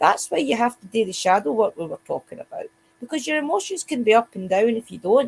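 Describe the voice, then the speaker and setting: A woman with a strong Scottish accent speaks with lively intonation in a dry, close sound with no echo. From Scotland. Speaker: witch, podcast co-host. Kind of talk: casual chat.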